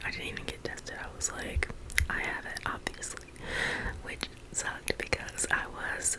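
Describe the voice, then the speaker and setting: Whispered speech from a woman, with noticeable background noise around it. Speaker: ASMR creator. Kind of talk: casual personal story to camera.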